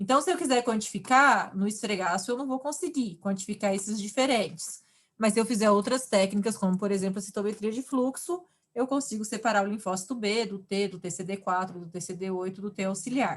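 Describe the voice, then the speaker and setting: Somewhat breathy, a woman talks at a fairly quick pace with medium pitch and ordinary pitch variation. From Brazil, countryside. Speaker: university lecturer. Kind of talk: online lecture.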